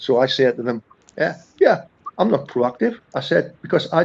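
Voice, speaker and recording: A medium-pitched man's voice with a northern English accent. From northern England. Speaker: accountant, firm founder. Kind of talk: podcast interview. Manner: conversational, many hesitations and repeats.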